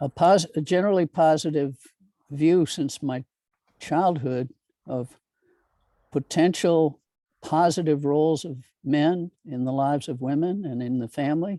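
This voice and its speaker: In a dry, close recording with no echo and a silent, very clean background, a man with a dark, mellow tone and fairly high pitch speaks at a fairly slow pace with long, frequent pauses and ordinary pitch variation. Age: 70s. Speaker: retired nonprofit director. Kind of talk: casual chat. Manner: halting.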